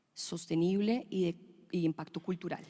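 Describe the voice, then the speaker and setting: A woman speaks at a fairly slow pace. Her tone is dark and mellow, and her pitch fairly low. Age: 30s. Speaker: fashion designer. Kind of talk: conference panel talk.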